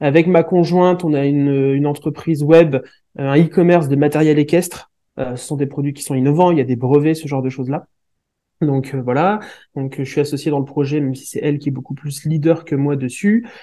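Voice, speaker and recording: This man's voice has a dark, mellow tone and moves at a fairly quick pace. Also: fairly high pitch for a man, fairly even intonation. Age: 30s. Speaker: project management expert and entrepreneur. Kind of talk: interview.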